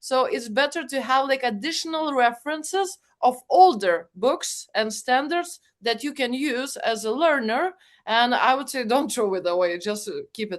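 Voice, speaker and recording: A high-pitched woman at a moderate pace, her pitch swinging very widely, over a quiet background. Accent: Lithuanian. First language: Lithuanian. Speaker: project management expert and guide co-author. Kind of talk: webinar panel discussion. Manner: hesitant, many fillers.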